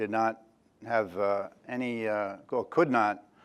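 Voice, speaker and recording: A man with a New York accent on a very clean recording with a silent background. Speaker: options trader and industry veteran. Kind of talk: talk to an audience. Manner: halting, many fillers.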